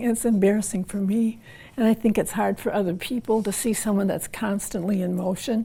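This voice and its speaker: Somewhat breathy, a woman with a dark, mellow tone speaks at a medium pitch and a moderate pace. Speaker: woman living with Parkinson's. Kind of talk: interview.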